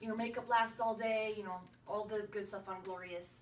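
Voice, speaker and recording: Audible room echo surrounds a woman's voice. She speaks at a fairly slow pace and fairly high pitch with ordinary pitch variation. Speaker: makeup sales presenter. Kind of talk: tutorial.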